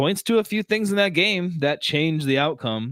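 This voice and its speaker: A man with a Wisconsin accent, lively intonation, and a moderate pace. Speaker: sports podcast co-host. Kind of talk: casual chat. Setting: live-streamed podcast.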